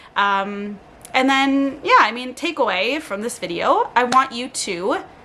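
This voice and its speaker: Noticeable background noise sits under a woman's voice. She sounds animated and high-pitched. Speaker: lifestyle vlogger. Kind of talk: casual monologue. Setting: home, on living room floor. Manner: fast.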